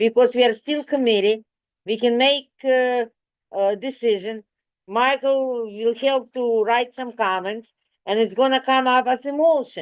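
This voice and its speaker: Speaking with a non-native accent, a woman with a high voice talks at a fairly slow pace and with fairly even intonation. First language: not English. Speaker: community board committee member. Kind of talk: public meeting discussion. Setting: community board meeting, livestreamed.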